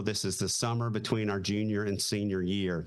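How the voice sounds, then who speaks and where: With audible room echo, a man in a Southern accent speaks at a fairly quick pace, with a fairly low pitch and fairly even intonation. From US South, Raleigh, North Carolina. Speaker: retired Marine pilot. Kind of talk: casual interview chat.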